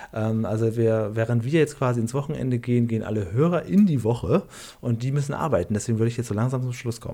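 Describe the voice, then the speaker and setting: The pace is very fast. A man speaks in a dark, mellow tone. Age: 40s. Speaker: podcast co-host. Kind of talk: casual chat.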